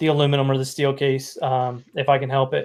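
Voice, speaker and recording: A man with a Southern US accent. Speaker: live stream host. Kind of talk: casual chat. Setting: live stream. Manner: halting.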